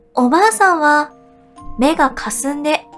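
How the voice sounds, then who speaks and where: Over music in the background, a woman speaks at a very slow pace in a gentle tone, with a high pitch and lively intonation. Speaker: VTuber, singer and idol streamer. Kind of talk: sleep story, audiobook-style reading. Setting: studio, with music-box and wave-sound background. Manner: soft, gentle, calming.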